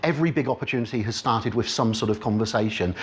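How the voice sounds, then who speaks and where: This man talks with an Oxfordshire accent. His pace is very fast and his intonation lively. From Oxfordshire, England. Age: 40s. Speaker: business networking speaker. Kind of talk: talk to a live audience. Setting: meeting room with audience.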